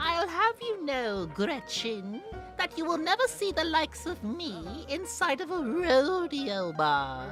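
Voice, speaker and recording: A man puts on a character voice with an extremely high pitch. He goes at a fairly slow pace, with clear music in the background. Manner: haughty, prim.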